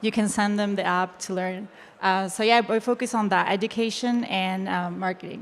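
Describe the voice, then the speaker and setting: A woman with a Spanish accent, medium pitch, monotone and flat intonation, and a moderate pace. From Chile. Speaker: web3 educator. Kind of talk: panel discussion.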